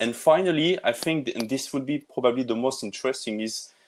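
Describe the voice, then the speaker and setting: A man with a French accent, medium pitch and ordinary pitch variation. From France. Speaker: tech industry presenter. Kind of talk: webinar presentation. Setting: online webinar. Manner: halting, many fillers.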